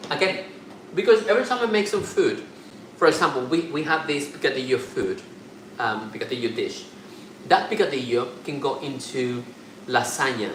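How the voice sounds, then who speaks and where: Amid audible room echo and noticeable background noise, a man with a fairly high voice swings very widely in pitch and leaves long, frequent pauses. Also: moderate pace. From Mexico. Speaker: cooking and gossip channel host. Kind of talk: live-stream cooking chat.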